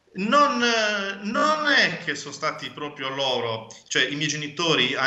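Speaking at a fairly slow pace, a man uses a fairly high pitch with very wide pitch swings. The room echo is audible. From Sardinia, Cagliari; Sardinia, Italy. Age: 30s. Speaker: bookseller and publisher; bookseller. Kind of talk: interview. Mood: reflective, personal story. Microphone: video call.

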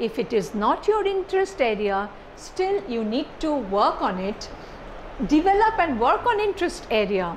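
A woman with a high pitch, at a moderate pace, over light background noise. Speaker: lecturer. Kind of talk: lecture. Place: classroom. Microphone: lapel.

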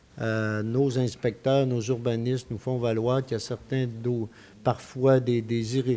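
A man's medium-pitched voice, very slow, dark and mellow, with monotone, flat intonation. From Quebec. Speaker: mayor chairing a town council meeting. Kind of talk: council meeting chairing. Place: hall. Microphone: podium.

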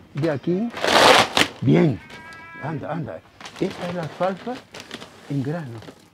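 A man talks at a fairly slow pace with lively intonation and long, frequent pauses. Loud background noise runs underneath. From Gran Canaria, Canary Islands; Canary Islands, Spain. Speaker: priest. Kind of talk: casual chat. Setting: outdoors. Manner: animated. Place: farm. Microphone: lapel.

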